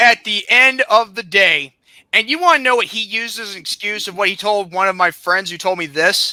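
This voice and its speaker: A man's raised, projected voice with an American accent, high in pitch, bright and sharp in tone, animated, at a fairly quick pace with ordinary pitch variation. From South Carolina. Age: 20s. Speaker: podcast host. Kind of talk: angry rant.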